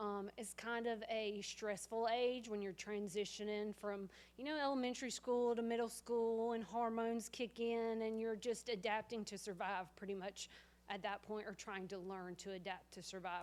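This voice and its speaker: A woman with a Southern US accent speaks at a moderate pace and a fairly high pitch. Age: 30s. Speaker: family friend. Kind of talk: eulogy sharing at memorial. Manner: loud.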